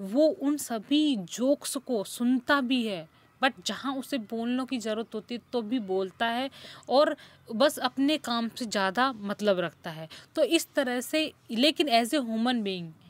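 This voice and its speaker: A woman's high-pitched voice carries lively intonation, recorded dry and close with no echo. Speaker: English lecturer. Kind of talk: lecture.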